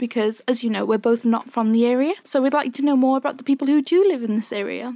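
Dry and close with no echo, the voice moves at a fairly quick pace with ordinary pitch variation. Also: woman. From Greece. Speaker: interviewer.

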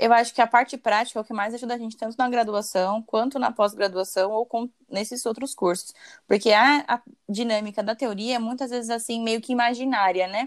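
Fairly quick and fairly even in intonation, a woman with a plain, everyday voice speaks at a fairly high pitch in a dry, close sound with no echo. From São Paulo, Brazil. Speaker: podcast host, dentist. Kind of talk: casual interview.

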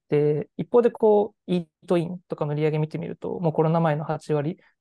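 This woman's voice is very deep and low, with a dark, mellow tone and vocal fry. She talks at a fairly quick pace in a dry, close sound with no echo. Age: 20s. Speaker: startup CEO. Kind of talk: interview.

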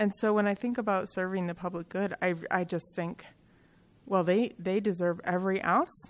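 In an American accent, a woman speaks at a moderate pace and medium pitch in an unremarkable speaking voice, on a very clean recording with a silent background. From Michigan (Kalamazoo). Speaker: behavioral health executive. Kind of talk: interview.

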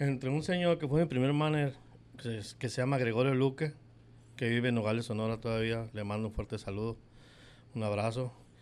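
A man's normal speaking voice at a fairly quick pace, with ordinary pitch variation and a quiet background. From Mexico, Guadalajara, Jalisco. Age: 50s. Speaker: baseball clubhouse attendant. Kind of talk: interview.

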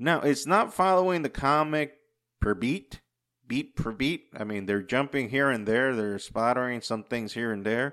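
On a very clean recording with a silent background, a man with an ordinary speaking voice and medium pitch talks at a fairly slow pace with lively intonation. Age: 40s. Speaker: podcast host. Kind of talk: casual solo monologue.

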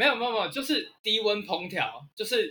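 A man speaks in a raised, projected voice, his tone bright and sharp, his pitch high, and his intonation lively. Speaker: author and history writer. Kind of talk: casual interview chat.

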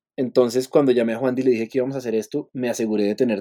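Recorded dry and close with no echo, a man talks at a medium pitch in a dark, mellow tone. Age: 30s. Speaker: musician. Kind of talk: interview. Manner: halting, repeats words.

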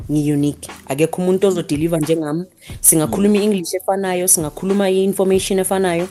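A woman with a fairly low voice rushes along at a very fast pace while noticeable background noise continues. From South Africa, Alexandra township, Johannesburg. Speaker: national team football coach. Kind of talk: panel discussion.

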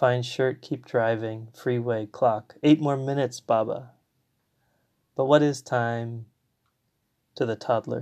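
In a quiet background, a man speaks very slowly with long, frequent pauses. His intonation is monotone and flat. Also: medium pitch for a man. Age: 30s. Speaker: poet and parent. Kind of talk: poetry reading, reflective. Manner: slow, hushed, contemplative.

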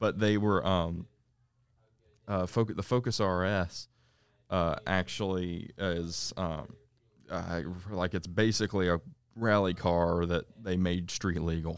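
Delivery is very slow and fairly even, with long, frequent pauses. The recording is very clean, with a silent background. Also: man, very deep, low pitch for a man. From US South. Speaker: podcast co-host. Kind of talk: casual chat.

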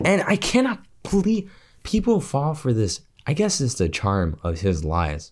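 Animated, somewhat breathy male voice with very wide pitch swings at a fairly slow pace, on a very clean recording with a silent background. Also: fairly high pitch for a man. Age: 20s. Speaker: podcast co-host. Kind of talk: casual chat.

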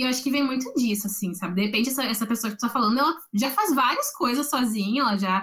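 A woman at a very fast pace, high in pitch, with ordinary pitch variation. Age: 20s. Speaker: psychology student. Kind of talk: casual chat. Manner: halting, repeats words.

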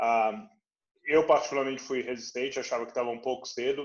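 A man talks in a normal speaking voice at medium pitch. His intonation stays fairly even. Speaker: venture capital investor, podcast host. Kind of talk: interview.

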